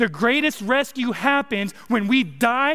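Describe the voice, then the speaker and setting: An animated, raised, projected voice in an American accent, at a moderate pace with ordinary pitch variation. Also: man. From California. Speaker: pastor. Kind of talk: sermon. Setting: church.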